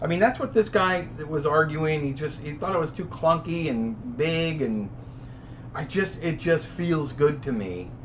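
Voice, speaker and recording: Audible room echo surrounds the recording. A man speaks with lively intonation. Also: fairly high pitch for a man. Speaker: live stream host, film camera collector. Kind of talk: casual live stream chat reading comments. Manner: fast.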